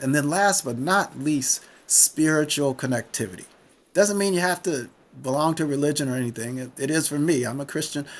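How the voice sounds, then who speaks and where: A man's unremarkable speaking voice, fairly high in pitch with ordinary pitch variation, at a moderate pace on a very clean recording with a silent background. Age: 60s. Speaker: retired physician and author. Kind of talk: podcast interview.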